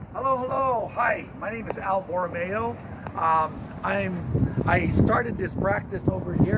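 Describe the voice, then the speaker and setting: Loud background noise fills the clip. A man is talking over it. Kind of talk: casual tour chat.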